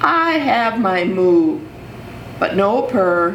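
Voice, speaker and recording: Against clear background noise, a woman does a put-on character voice at a fairly high pitch. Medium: read story.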